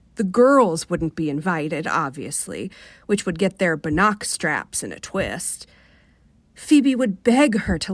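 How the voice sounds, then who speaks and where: An American-accented woman at a medium pitch with very wide pitch swings, at a fairly slow pace, on a very clean recording with a silent background. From Rochester, New York. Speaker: fiction author. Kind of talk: short story reading on radio. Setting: radio studio. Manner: soothing.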